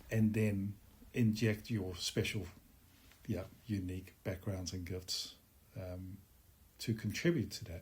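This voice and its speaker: A man talks in a fairly low pitch at a fairly slow pace. His voice is somewhat breathy. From Netherlands. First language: Dutch. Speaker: musician. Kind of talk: interview.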